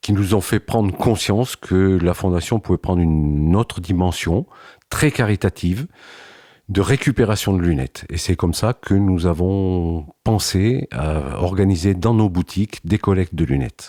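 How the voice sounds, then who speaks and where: Very deep and low, a man's voice has a dark, mellow tone and ordinary pitch variation at a fairly slow pace. The loudness is very even, and the sound is dry and close with no echo. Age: 70s. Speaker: retired company president. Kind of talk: interview testimony. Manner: measured, with hesitations.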